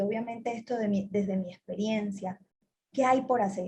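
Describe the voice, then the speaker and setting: A woman with a Colombian Caribbean accent speaks in a somewhat breathy voice with ordinary pitch variation. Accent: Colombian Caribbean coastal Spanish. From Colombian Caribbean coast, Cartagena. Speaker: telecom executive. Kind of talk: interview.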